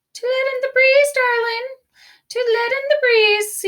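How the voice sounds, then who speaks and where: A woman puts on a squeaky character voice with an extremely high pitch. She talks at a moderate pace. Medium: read story. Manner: sly, smooth.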